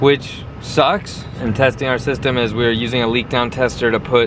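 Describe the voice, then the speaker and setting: With noticeable background noise, a man of medium pitch talks at a moderate pace. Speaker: car tuner and vlogger. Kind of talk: shop vlog walkthrough. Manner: monotone.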